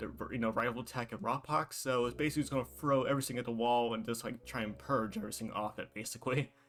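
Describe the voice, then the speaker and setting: Music plays behind a very fast delivery with hardly any pauses. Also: man, medium pitch for a man, ordinary pitch variation. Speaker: gaming content creator. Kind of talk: casual video game commentary.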